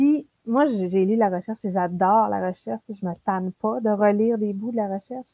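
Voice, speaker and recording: With a Quebec accent, a woman speaks at a moderate pace and medium pitch in a dark, mellow tone with ordinary pitch variation, the sound dry and close with no echo. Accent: Québécois French. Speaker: book YouTuber. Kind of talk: casual chat.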